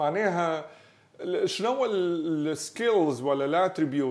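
Here a man speaks with a Tunisian accent. His pitch is high, and his pace is very slow. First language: Tunisian Arabic (speaking French). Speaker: podcast host. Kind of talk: casual interview. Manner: halting.

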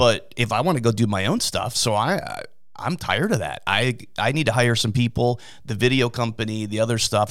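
A man talks at a fairly quick pace in a plain, everyday voice, pitched medium with ordinary variation. The recording is very clean, with a silent background. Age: 50s. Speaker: DJ and event business owner. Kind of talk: casual chat. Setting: studio.

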